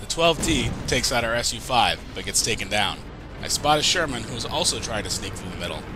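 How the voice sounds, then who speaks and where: Fairly quick speech from a man, music playing in the background. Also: medium pitch for a man, lively intonation. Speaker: gaming commentator. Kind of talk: game commentary and analysis.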